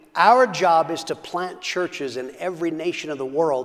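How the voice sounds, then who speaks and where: A man speaks with an American accent at a moderate pace, using ordinary pitch variation. The background is quiet. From United States. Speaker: pastor. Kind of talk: sermon. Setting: church. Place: church. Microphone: lapel.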